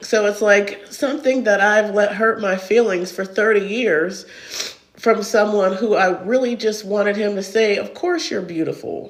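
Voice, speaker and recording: Noticeable background noise accompanies talking delivered at a moderate pace. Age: 40s. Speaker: online creator. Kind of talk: casual chat.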